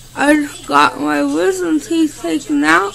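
A man speaks in a raised, projected voice with very wide pitch swings. Light background noise sits behind him. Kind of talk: casual home video chat. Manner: groggy, slurred post-anesthesia speech. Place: home room. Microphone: phone near.

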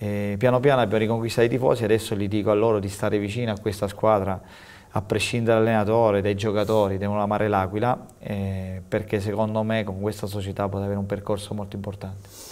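A man's fairly low voice, monotone and flat, at a very fast pace. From Abruzzo. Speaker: football coach; football coach guest. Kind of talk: TV interview. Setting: TV studio. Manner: halting, repeats words. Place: studio.

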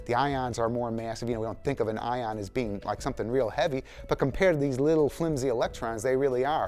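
A man talking at a very fast pace, with faint music in the background. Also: ordinary pitch variation. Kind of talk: interview answer. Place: studio. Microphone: lapel.

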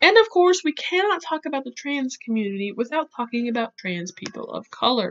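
Speaking at a fairly quick pace with hardly any pauses, a woman uses a high pitch with very wide pitch swings and big swings in loudness. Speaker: YouTuber who paints and educates. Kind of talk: educational talk to camera, reading quotes from articles. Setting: home recording, poor audio. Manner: awkward.

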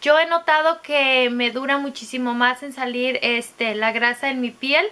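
A woman reads at a fairly slow pace in a raised, projected voice with a high pitch. Her tone is bright and sharp, and her intonation fairly even. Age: 30s. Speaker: beauty vlogger. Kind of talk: product review monologue. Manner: casual, filler-heavy. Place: home room. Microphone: phone near.

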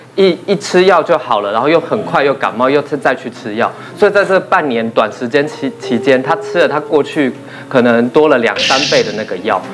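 Against noticeable background noise, a man with a fairly high pitch speaks at a fairly quick pace with very wide pitch swings. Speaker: rehabilitation therapist. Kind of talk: casual talk show chat. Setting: studio. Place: studio. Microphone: lapel.

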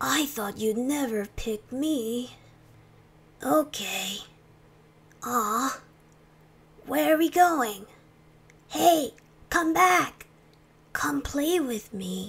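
A woman uses a put-on character voice with a high pitch. She goes at a very slow pace with long, frequent pauses.

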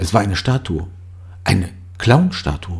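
A man speaks fairly slowly in a somewhat breathy voice. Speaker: audiobook narrator. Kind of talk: horror story reading.

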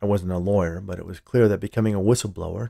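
This clip features an unforced reading voice.

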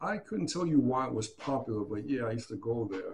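Somewhat breathy, fairly quick speech with lively intonation in a New York accent. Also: man. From Hunts Point, The Bronx. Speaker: graffiti writer and former army boxer; interviewee. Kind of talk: interview answer.

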